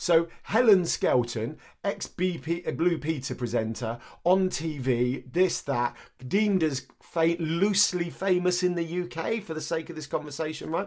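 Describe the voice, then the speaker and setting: A man speaks with an English accent, his pitch high and his pace fairly slow. His intonation is lively, and the recording is very clean with a silent background. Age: 40s. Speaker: podcast co-host. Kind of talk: casual chat.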